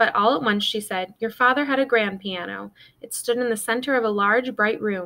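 Pitch variation is ordinary. The delivery is plain reading aloud.

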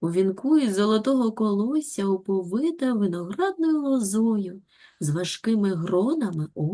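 Lively intonation runs through this reading aloud in a natural voice.

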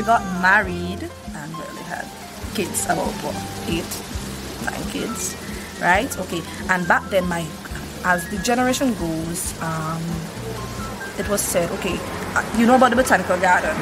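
A woman at a moderate pace, with long, frequent pauses and noticeable background noise. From Saint Vincent. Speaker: cook. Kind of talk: interview answer. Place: street.

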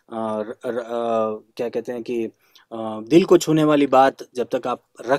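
Against a quiet background, a man speaks very slowly in a dark, mellow tone with ordinary pitch variation, the sound dry with no echo. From Karnataka, India (Dharwad), raised partly in Hyderabad and Delhi; Karnataka. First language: Kannada (speaking Hindi). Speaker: classical flute player; interviewee. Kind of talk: interview. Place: home room. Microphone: video call.

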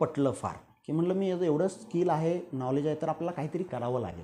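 A man speaks over light background noise. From Satara district, Maharashtra (rural); Maharashtra. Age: 40s. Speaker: entrepreneur; interviewee. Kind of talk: interview. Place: office.

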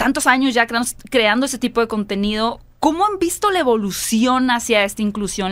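With an animated tone, a woman speaks fairly quickly at a fairly high pitch. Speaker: film podcast host. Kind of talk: casual chat. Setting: studio. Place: studio. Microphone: studio mic.

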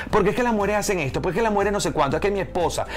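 A man speaks with faint music in the background. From Venezuela. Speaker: stand-up comedian. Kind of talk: interview answer. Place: studio. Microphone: lapel.

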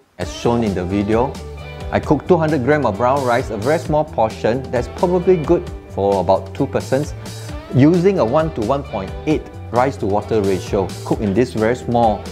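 A man at a moderate pace, with clear music in the background. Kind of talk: tutorial. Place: kitchen. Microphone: lapel.

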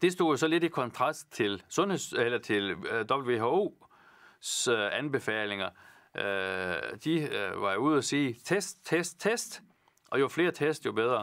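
Over a quiet background, this voice moves very slowly, with vocal fry and very wide pitch swings. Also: man, fairly high pitch for a man. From Vendsyssel, northern Jutland, Denmark; Denmark. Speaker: politician. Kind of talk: Q&A answering viewer questions. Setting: studio, alone. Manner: halting, many fillers. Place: studio. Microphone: lapel.

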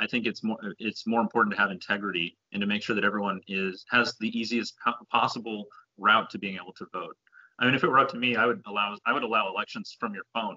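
A man with an American accent talks at a very fast pace, his pitch medium with ordinary variation. The background is quiet. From Houston, Texas. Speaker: congressional candidate; candidate. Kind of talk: interview. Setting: video call. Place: home room. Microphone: video call.

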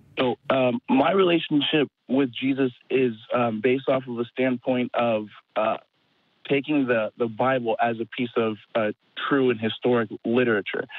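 A man speaks at a moderate pace with fairly even intonation, the sound dry with no echo and the background quiet. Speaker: caller. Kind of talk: call-in debate answer. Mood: earnest, calm. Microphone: phone line.

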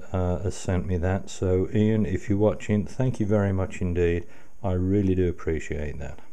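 A man with a very deep, low pitch and a dark, mellow tone talks at a fairly slow pace. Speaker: radio restoration hobbyist. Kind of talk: casual tutorial commentary. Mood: pleased, grateful. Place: home room.

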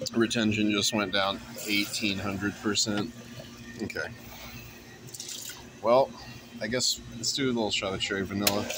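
Speaking fairly slowly in a flat monotone with long, frequent pauses, a man with a fairly low pitch is heard in a dry sound with no echo over noticeable background noise. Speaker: vlogger. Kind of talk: casual vlog chat. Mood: playful, joking. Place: shop. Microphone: phone near.

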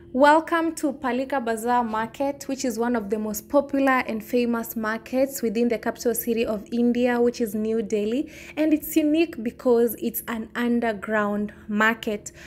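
A woman with a high voice speaks with hardly any pauses. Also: ordinary pitch variation, moderate pace. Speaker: travel vlogger. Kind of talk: casual vlog chat. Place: market. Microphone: phone near.

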